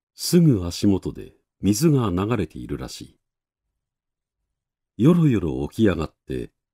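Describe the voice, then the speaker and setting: Dark, mellow tone marks this man's voice, which swings very widely in pitch at a fairly slow pace. The sound is dry and close with no echo, on a very clean recording with a silent background. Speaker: narrator. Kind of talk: literary reading.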